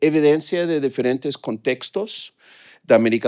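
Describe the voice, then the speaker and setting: In a dry, close sound with no echo, a man with fairly high pitch speaks with ordinary pitch variation. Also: very clean recording, silent background. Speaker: economist presenting research. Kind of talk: conference talk. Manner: halting, many fillers.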